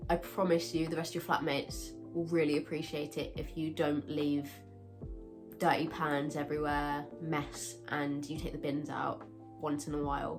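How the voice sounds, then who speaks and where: Music plays behind a woman speaking in a very deep, low pitch. She keeps a moderate pace with ordinary pitch variation. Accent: British. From UK. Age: 20s. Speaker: university student. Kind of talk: casual advice talk to camera.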